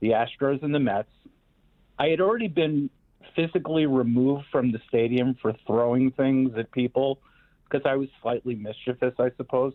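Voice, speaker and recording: Speaking in a New York accent, a man talks with ordinary pitch variation. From New York, Queens. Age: 60s. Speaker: host's father, guest. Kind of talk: storytelling.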